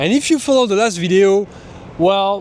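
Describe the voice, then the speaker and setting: A man talks fairly quickly, his pitch varying in an ordinary way. Clear background noise is heard behind him. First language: not English. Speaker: travel vlogger. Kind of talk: travel vlog narration. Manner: casual, halting.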